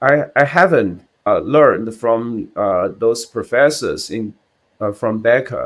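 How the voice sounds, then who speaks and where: A man speaks with a Chinese accent. His pace is very slow. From China. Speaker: CPA exam candidate. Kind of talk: interview answer. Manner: hesitant, halting.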